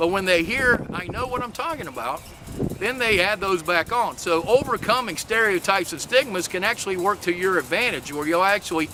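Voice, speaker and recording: A man's high-pitched, raised and projected voice with a Southern US accent, lively intonation and noticeable background noise. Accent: Southern drawl. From US South, Lexington, North Carolina. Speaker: maker and workforce advocate. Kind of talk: talk submission video. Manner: hesitant, many filler words.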